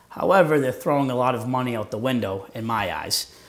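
A man talks at a fairly quick pace. His pitch moves in an ordinary way. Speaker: guest. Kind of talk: interview answer. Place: studio. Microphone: lapel.

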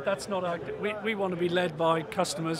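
High-pitched male speech with fairly even intonation, dry with no echo, over noticeable background noise. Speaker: startup sales executive. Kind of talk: trade show interview. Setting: trade show floor. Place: hall. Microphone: phone near.

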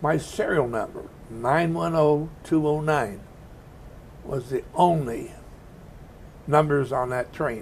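Against light background noise, a man's somewhat breathy voice carries ordinary pitch variation. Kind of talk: interview answer. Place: meeting room. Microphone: lapel.

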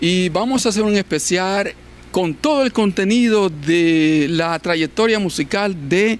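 A man speaks at a fairly slow pace in a high voice, with ordinary pitch variation. The sound is dry with no echo, over light background noise. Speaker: TV show host. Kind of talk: show host introduction. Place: studio. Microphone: handheld.

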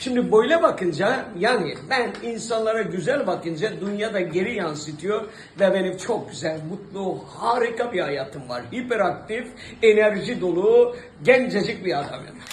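A man speaks in a high pitch with lively intonation at a fairly slow pace. Audible room echo and noticeable background noise fill the recording. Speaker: actor. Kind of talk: interview. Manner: hesitant with frequent fillers.

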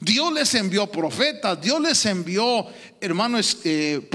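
A man talks very slowly in a high voice with very wide pitch swings. His tone is bright and sharp over a quiet background. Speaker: preacher. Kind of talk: sermon. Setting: church. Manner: halting, repeating words, interactive preaching. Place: church. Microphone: handheld.

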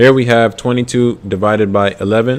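A man's voice with fairly even intonation. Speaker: ASVAB tutor. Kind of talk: live-stream tutorial. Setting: live stream. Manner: slow.

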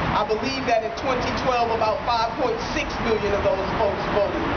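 Loud background noise sits under a woman speaking at a moderate pace. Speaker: politician. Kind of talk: rally speech. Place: street. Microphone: podium.

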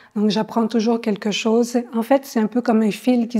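A woman speaks at a moderate pace in a monotone, flat intonation, her voice somewhat breathy. Her tone is dark and mellow, and the background is quiet. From France. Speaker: visual artist, ceramist. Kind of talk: interview. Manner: hesitant, with frequent fillers and repetitions. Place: hall. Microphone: lapel.

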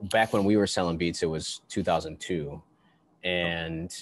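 In an American accent, a man with a very deep, low pitch speaks at a moderate pace with fairly even intonation, the sound dry with no echo. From Buffalo, New York; New York. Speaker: podcast host and musician; interview guest. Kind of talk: casual interview. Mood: relaxed, reminiscing. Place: studio. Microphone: headset.

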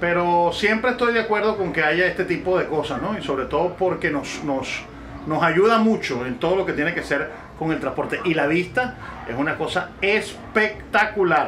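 A high-pitched man at a moderate pace, over light background noise. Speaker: travel vlogger. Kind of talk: casual vlog chat. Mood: cheerful, enthusiastic. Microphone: phone near.

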